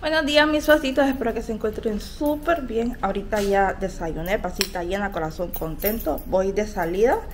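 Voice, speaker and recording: Amid noticeable background noise, a woman talks at a moderate pace with hardly any pauses. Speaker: vlogger. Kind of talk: casual vlog chat. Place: street. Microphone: phone near.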